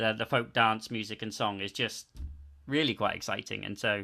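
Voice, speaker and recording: Over a silent background in a very clean recording, a man talks at a fairly quick pace with a bright, sharp tone and fairly even intonation. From southern England. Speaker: folk musician. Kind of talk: interview.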